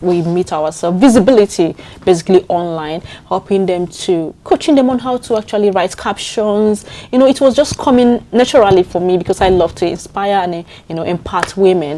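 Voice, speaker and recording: A woman speaks at a fairly quick pace with a Nigerian accent, her medium pitch moving with ordinary variation. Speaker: community leader. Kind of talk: interview answer.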